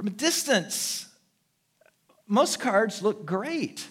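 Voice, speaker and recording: A man with a high pitch and lively intonation at a very slow pace. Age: 60s. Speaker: pastor. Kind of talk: sermon. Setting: church service with live audience.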